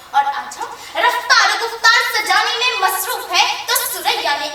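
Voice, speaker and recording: Against noticeable background noise, a woman speaks in a raised, projected voice with lively intonation. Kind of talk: formal religious speech to an audience. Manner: emotional, declamatory.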